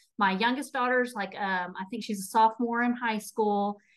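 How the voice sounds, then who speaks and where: Fairly high in pitch, a woman speaks with a Texas accent and fairly even intonation. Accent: Texas accent, noticeable. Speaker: nutrition and habit coach. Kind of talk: interview testimony.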